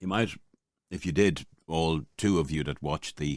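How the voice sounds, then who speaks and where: A man with an Irish accent speaks at a fairly slow pace in a very deep, low pitch. His intonation is fairly even, on a very clean recording with a silent background. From Ireland. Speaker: voice-over artist. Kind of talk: casual podcast talk to camera.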